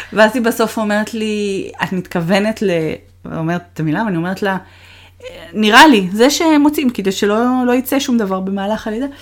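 A woman talks in a normal speaking voice. Her pitch is fairly high and her intonation lively. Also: moderate pace. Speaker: podcast co-host, relocated mother. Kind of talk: casual chat.

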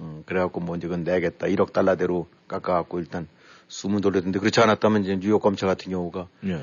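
A man rattles along at a very fast pace. His very deep, low voice stays monotone and flat. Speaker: political commentator. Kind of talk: casual chat.

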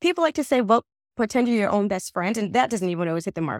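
A woman with an American accent, fairly high-pitched, talking very fast with lively intonation, on a very clean recording with a silent background. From US, New Jersey. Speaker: journalist and writer. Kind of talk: interview conversation.

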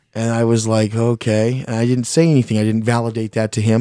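A man with an American accent, medium in pitch, dark and mellow in tone, at a very fast pace, in a very clean recording with a silent background. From Mexican heritage, US. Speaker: homeowner telling haunted house story. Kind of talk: casual interview, personal story. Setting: studio.

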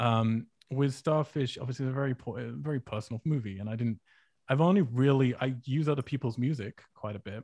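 A man's medium-pitched, somewhat breathy voice with a dark, mellow tone and ordinary pitch variation at a fairly quick pace, in a dry, close sound with no echo and a quiet background. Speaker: film writer and director. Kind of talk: casual interview conversation.

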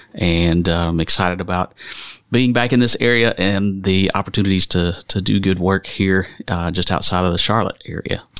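This man has a very deep, low voice and a Southern US accent. He talks at a moderate pace with fairly even intonation and very even loudness. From western North Carolina. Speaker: minister. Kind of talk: casual chat.

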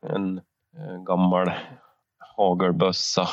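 A man's voice at a very slow pace. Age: 30s. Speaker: podcast co-host, hunter. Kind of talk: casual chat.

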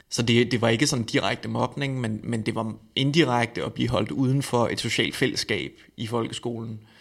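Vocal fry at a moderate pace, fairly even intonation, on a very clean recording with a silent background. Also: man, medium pitch for a man. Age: 30s. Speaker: eating disorder counsellor. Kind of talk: interview. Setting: studio.

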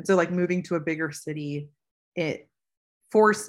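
A woman speaks with a very deep, low pitch and fairly even intonation at a moderate pace. The recording is very clean, with a silent background. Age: 30s. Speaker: personal growth coach. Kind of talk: casual chat. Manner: filler-heavy, frequent 'like'.

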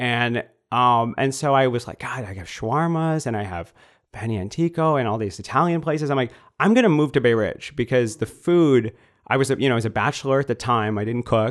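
In an American accent, the speaker goes at a fairly quick pace with ordinary pitch variation, on a very clean recording with a silent background. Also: man, medium pitch for a man. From US Midwest. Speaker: congressional candidate. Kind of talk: interview.

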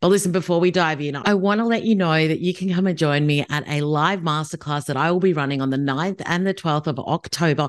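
A husky voice moves at a fairly quick pace with few pauses, on a very clean recording with a silent background. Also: woman, low pitch for a woman, ordinary pitch variation.

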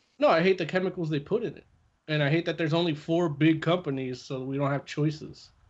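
Loudness swings widely as a man with a fairly high pitch talks at a very fast pace. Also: fairly even intonation. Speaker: comic book podcast co-host. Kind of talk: casual chat.

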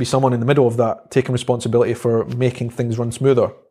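A man with a Scottish accent talks at a very fast pace. His medium-pitched voice sounds somewhat breathy. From Scotland, Edinburgh (Stenhouse). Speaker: vlogger and social media marketer. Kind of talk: casual interview conversation.

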